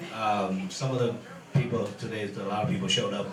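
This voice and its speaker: Music plays in the background of a room with audible echo. A man speaks at a moderate pace with ordinary pitch variation. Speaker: MMA event promoter. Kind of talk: press conference. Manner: halting.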